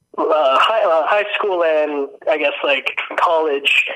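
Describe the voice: Slowly, a man speaks at a fairly high pitch in a bright, sharp tone. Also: ordinary pitch variation.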